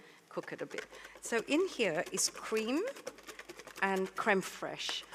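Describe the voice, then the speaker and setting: Very slow speech from a woman amid noticeable background noise. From Malaysia, later Australia. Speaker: baker and cookbook author. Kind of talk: live cooking demonstration. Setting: stage with audience.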